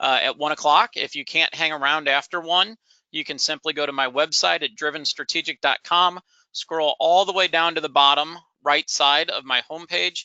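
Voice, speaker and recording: A man with a fairly high pitch and fairly even intonation. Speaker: nonprofit consultant and professor. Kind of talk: webinar presentation. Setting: online webinar. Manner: fast.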